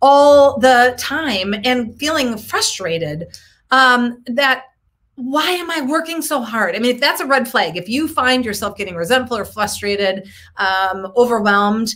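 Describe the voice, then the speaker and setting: Lively intonation from a woman at a fairly slow pace. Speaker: coach, show host. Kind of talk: casual live-stream talk. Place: home room. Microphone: webcam.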